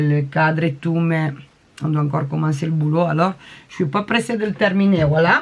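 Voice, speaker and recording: A woman speaks with a non-native accent. Her pitch is fairly low, with ordinary variation. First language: not French (speaking French). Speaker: crafting vlogger. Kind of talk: casual show-and-tell vlog. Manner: halting, many hesitations.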